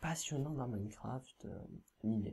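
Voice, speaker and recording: Very slowly, a man speaks in a dark, mellow tone that is somewhat breathy. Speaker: gaming YouTuber. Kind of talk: let's play commentary. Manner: hesitant, many filler sounds.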